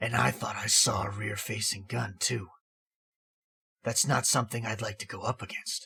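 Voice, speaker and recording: A raspy put-on character voice at a moderate pace, broken by long, frequent pauses. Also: man, medium pitch for a man. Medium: read story. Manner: terse, gruff.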